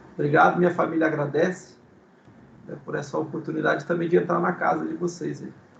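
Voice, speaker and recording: Very fast, monotone, flat speech from a man with a fairly high pitch, big swings in loudness and noticeable background noise. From Brazil, São Paulo city. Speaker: guest speaker, ministry teacher. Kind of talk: casual chat. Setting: video call. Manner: halting.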